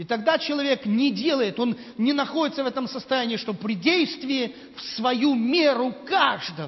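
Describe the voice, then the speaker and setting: Noticeable background noise runs under this recording. A man speaks at a fairly slow pace with an extremely high pitch. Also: ordinary pitch variation. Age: 50s. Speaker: visiting preacher. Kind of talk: sermon.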